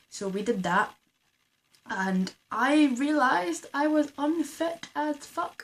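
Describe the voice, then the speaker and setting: A woman with a Scottish accent speaks very slowly at a high pitch with very wide pitch swings. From Scotland. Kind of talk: casual talk to camera.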